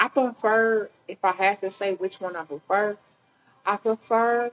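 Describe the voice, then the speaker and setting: Over music in the background, someone with an American accent speaks at a very slow pace. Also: woman. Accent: US Southern country accent, once very strong. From Mississippi. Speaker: podcast guest. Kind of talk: casual chat. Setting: restaurant.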